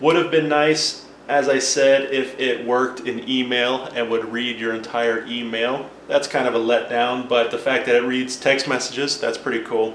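A man at medium pitch, with monotone, flat intonation, a moderate pace and hardly any pauses, plus audible room echo and light background noise. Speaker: tech video presenter. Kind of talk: tutorial. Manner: casual, explanatory. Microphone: camera far.

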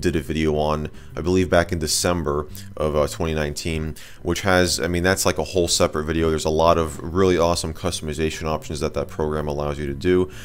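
A man speaks at a very fast pace in a very deep, low pitch. His intonation is monotone and flat, over light background noise. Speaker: tech video creator. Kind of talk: tutorial commentary. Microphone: studio mic.

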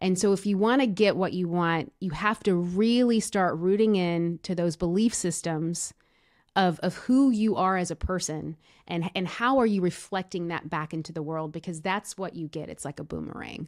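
A woman talks at a moderate pace and fairly low pitch with ordinary pitch variation. The background is quiet. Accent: American. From Tennessee, US South. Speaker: podcast guest, brand coach. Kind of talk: interview. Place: studio. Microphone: studio mic.

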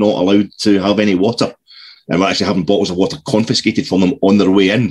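With a Scottish accent and fairly low pitch, a man speaks in fairly even intonation over a quiet background. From Scotland. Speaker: podcast co-host. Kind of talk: casual chat. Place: home room. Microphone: video call.

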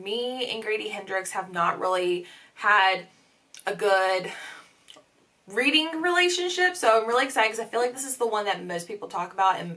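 The tone is bright and sharp, with very wide pitch swings. Loudness swings widely too. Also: woman. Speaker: book vlogger. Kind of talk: casual vlog chat. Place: home room.

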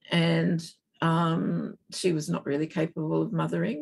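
The speaker has an Australian accent and a fairly slow pace. The background is quiet. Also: woman. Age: 70s. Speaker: keynote guest. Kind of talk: interview conversation. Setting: video call. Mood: reflective, candid. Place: home room. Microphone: video call.

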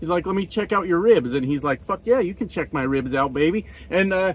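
Recorded with a dry sound and no echo, a man talks at a fairly quick pace. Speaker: truck driver vlogger. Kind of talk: casual vlog chat, storytelling. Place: car. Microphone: phone near.

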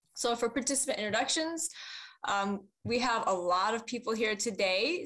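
Her tone is bright and sharp, at a fairly high pitch for a woman. The background is quiet. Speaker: webinar moderator. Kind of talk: moderated webinar. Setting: video call.

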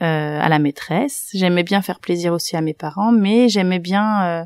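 Recorded very cleanly against a silent background, a woman speaks at a fairly slow pace in a calm tone with lively intonation, the sound dry and close with no echo. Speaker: primary school teacher. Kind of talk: interview. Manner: hesitant, many fillers.

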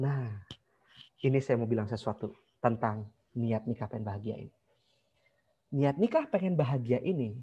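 Somewhat breathy, a man talks at a fairly slow pace with a dark, mellow tone. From Bandung, West Java; West Java. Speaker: marriage consultant; online class teacher. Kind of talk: online class lecture. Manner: animated. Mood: relaxed, conversational. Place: home room. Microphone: video call.

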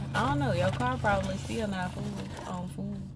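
A woman's moderate pace is accompanied by music in the background. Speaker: vlogger. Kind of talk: casual vlog chat. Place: car. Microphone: phone near.

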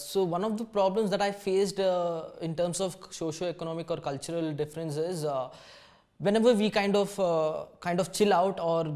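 Against a quiet background, a man speaks at a moderate pace in a high pitch with fairly even intonation. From India. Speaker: design student. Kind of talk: interview testimony. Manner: halting, many fillers and repetitions. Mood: reflective, calm.

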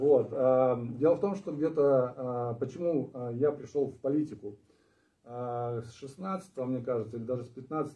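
A man speaks with ordinary pitch variation. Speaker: party candidate, returned from abroad. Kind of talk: live stream discussion. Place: meeting room. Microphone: camera far.

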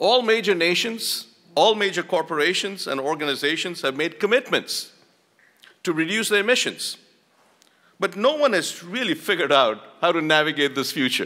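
The voice has a bright, sharp tone and lively intonation at a moderate pace. The background is quiet. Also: man, high pitch for a man. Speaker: university dean. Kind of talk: conference opening speech. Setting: stage with audience. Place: hall. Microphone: podium.

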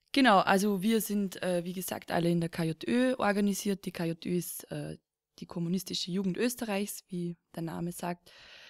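A woman at medium pitch with ordinary pitch variation and a moderate pace, in a very clean recording with a silent background and a dry, close sound with no echo. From Lower Austria, rural. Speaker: podcast host. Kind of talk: casual chat. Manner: halting, many fillers.

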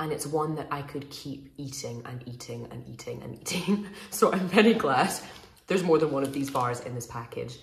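Audible room echo hangs on words delivered at a moderate tempo. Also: woman. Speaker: food reviewer. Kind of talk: casual vlog review. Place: home room. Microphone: phone near.

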